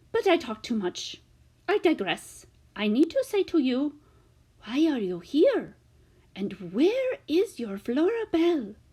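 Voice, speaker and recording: Putting on a character voice, a woman speaks high and fairly slowly, her pitch swinging very widely between long, frequent pauses. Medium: read story. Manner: rambling, formal foreign phrasing.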